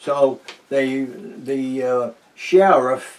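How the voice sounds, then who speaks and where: A man speaks with a New England accent. His intonation is lively. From New Hampshire. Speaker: retired teacher, war veteran. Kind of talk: oral history interview answer. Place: home room. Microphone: camera far.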